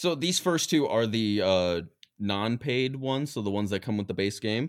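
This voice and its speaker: In a very clean recording with a silent background, a man with an American accent talks in an animated tone with lively intonation. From West Virginia. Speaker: podcast co-host. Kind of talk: casual chat. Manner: animated, joking.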